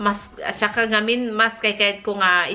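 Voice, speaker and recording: Noticeable background noise can be heard. Over it, a woman speaks at a moderate pace. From northern Philippines (Ilocos region). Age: 40s. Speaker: lifestyle vlogger. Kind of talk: casual vlog talk. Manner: halting, with many fillers and restarts.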